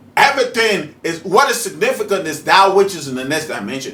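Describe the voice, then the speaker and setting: At a moderate pace, a man speaks in a raised, projected voice with an animated tone that is bright and sharp. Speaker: spiritual teacher, video host. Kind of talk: preaching monologue. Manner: animated, rhetorical questioning.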